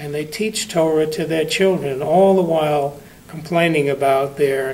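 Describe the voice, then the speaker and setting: A man with an American accent speaks at a fairly slow pace, his pitch fairly high and his intonation fairly even. Audible room echo and noticeable background noise surround him. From New York. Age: 80s+. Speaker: congregant giving a sermon. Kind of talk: sermon.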